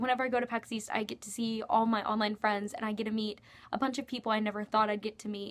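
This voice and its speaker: A woman speaks at a fairly high pitch in a flat monotone. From Kentucky. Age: 19. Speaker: YouTuber, university student. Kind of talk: casual Q&A vlog. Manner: casual, many filler ums.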